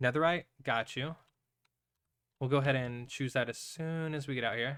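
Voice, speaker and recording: A man with a fairly high pitch and an American accent talks at a fairly quick pace in a very clean recording with a silent background. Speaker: streamer. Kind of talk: casual live-stream chat while gaming. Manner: chatty, relaxed.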